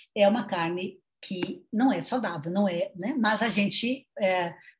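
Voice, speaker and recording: A woman speaks at a medium pitch with a lively, varied intonation and a somewhat breathy quality. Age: 50s. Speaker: nutritionist and sociology professor. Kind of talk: interview.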